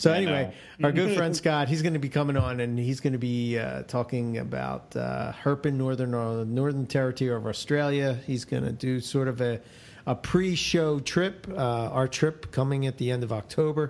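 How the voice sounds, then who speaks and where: Here a man with a Philadelphia accent talks at a moderate pace with hardly any pauses. His medium-pitched voice shows ordinary pitch variation. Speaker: podcast co-host. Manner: casual, conversational.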